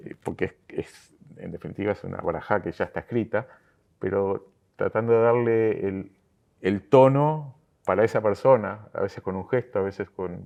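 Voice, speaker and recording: Speaking at a moderate pace, a man with a medium pitch shows ordinary pitch variation and big swings in loudness. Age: 60s. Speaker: synagogue lay leader. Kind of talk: interview. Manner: halting, many fillers and repetitions.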